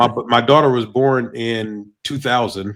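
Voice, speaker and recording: Recorded very cleanly against a silent background, a man uses a normal speaking voice at a medium pitch with ordinary pitch variation. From South Georgia, US South. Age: 40s. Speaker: podcast host. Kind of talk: casual interview.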